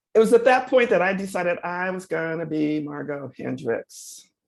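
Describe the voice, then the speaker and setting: At a moderate pace, a woman speaks with lively intonation and vocal fry. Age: 70s. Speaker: professor. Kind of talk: lecture.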